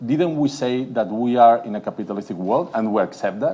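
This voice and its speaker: In a Catalan accent, a man talks at a fairly quick pace with lively intonation and a dark, mellow tone. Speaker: city politician. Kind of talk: conference panel talk. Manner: hesitant, many fillers.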